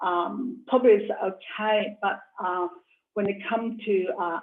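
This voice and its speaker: In a Hong Kong accent, a woman speaks at a very slow pace. Her voice sits at medium pitch with ordinary pitch variation. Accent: Hong Kong Cantonese-accented English. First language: Cantonese. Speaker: artist. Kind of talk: interview. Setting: video call. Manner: halting, many fillers.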